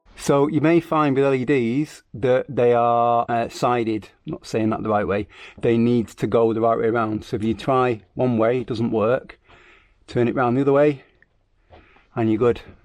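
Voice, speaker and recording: Here is a man with a plain, everyday voice and fairly even intonation. He talks at a moderate pace against a quiet background. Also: medium pitch for a man. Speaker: car DIY youtuber. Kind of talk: tutorial.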